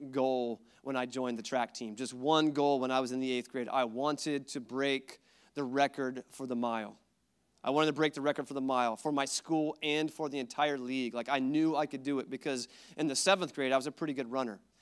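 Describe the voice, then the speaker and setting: Fairly quick, fairly even-toned speech from a man against a quiet background. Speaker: pastor. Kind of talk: sermon. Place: church. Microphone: handheld.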